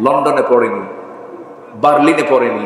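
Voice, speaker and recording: The voice belongs to a man. Background noise is noticeable behind him. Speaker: Islamic preacher giving a waz sermon. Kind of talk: public religious sermon (waz) to a live audience. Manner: rhetorical, audience-engaging, humorous at times.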